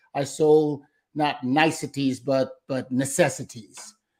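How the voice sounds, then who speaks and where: Recorded very cleanly against a silent background, a man with a fairly high-pitched voice, a plain, everyday voice, speaks with an American accent and fairly even intonation. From Brooklyn, New York. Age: 60s. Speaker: solar salesman and sales trainer. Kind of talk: interview.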